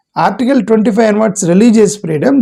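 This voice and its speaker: A man's voice has a dark, mellow tone. He keeps a moderate pace with ordinary pitch variation. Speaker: political commentator. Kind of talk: political commentary monologue. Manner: hesitant with fillers.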